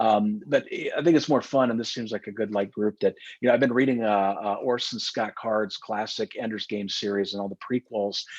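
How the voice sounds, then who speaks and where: A man's medium-pitched voice with ordinary pitch variation and hardly any pauses, in a dry, close sound with no echo. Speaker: security company founder. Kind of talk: webinar presentation. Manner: fast; halting.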